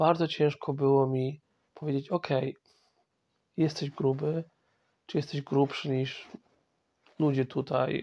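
With a quiet background, a man talks at a very slow pace in a fairly high pitch, his dark, mellow tone carrying fairly even intonation through long, frequent pauses. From Poland, Masovia. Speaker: podcast host. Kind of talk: personal monologue. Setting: in bed at home. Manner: halting.

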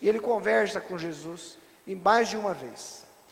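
Lively in intonation and animated in tone, a man speaks. Noticeable background noise can be heard. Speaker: preacher. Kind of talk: sermon. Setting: church. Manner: animated, rhetorical, asks the congregation questions; teaching, stops the reader to explain each passage.

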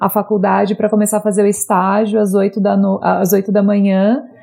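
Medium-pitched female voice, dark and mellow in tone. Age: 30s. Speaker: advertising professional. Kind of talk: interview about personal experience.

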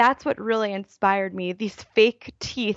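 Using an unremarkable speaking voice, a woman with an American accent talks at a moderate pace with a fairly high pitch. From Baltimore, US. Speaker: YouTuber and writer. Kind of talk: casual interview.

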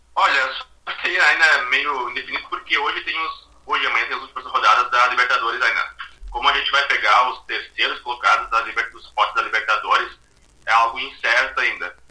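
A man speaks at a fairly quick pace with big swings in loudness. Noticeable background noise runs throughout. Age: 20s. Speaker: football fan guest, administrator. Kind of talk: casual chat.

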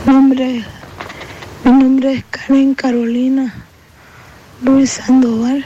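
Against noticeable background noise, a woman speaks very slowly in a high, monotone, flat voice with long, frequent pauses. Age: 40s. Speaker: patient asking for help. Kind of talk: testimony.

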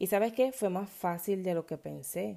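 The woman's intonation is lively, her pitch medium and her tone dark and mellow. It is a very clean recording with a silent background. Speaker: podcaster and moms' self-care coach. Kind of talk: casual monologue. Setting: home recording at 5 a.m. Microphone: no proper microphone or studio.

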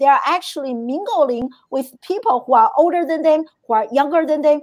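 The delivery has an animated tone and lively intonation. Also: woman. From China. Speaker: podcast host. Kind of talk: live interview show. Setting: live stream.

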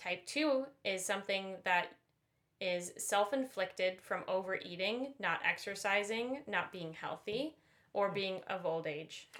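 A woman with an American accent and a plain, everyday voice, medium in pitch, at a fairly slow pace with ordinary pitch variation, on a very clean recording with a silent background. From US suburbs. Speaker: podcast co-host. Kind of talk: casual chat.

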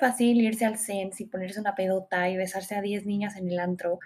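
A woman speaks fairly quickly in a somewhat breathy voice at a medium pitch. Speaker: podcast host. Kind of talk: solo self-help podcast. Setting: home recording. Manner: fast.

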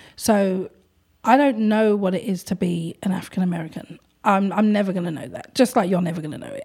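Fairly quick speech with a London accent carries a dark, mellow tone and ordinary pitch variation. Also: woman, medium pitch for a woman. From London, England. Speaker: art gallery owner. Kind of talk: casual interview chat. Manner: talkative, chatty.

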